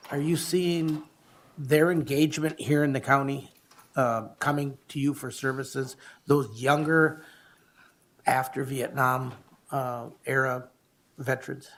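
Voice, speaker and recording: Long, frequent pauses break up this man's speech, his pitch fairly high and his intonation fairly even. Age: 60s. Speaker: county commissioner. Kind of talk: public meeting discussion. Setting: county board meeting.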